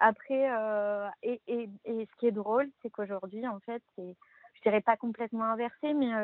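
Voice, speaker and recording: A woman speaks at a very slow pace with a fairly high pitch. Her intonation is fairly even. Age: 30s. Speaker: stepmother. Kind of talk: casual chat.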